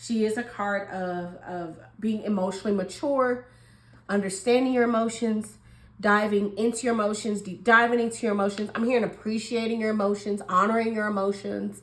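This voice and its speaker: Noticeable noise sits behind the voice. A woman delivers her words fairly quickly. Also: fairly high pitch for a woman. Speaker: tarot reader. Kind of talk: tarot reading. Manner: animated.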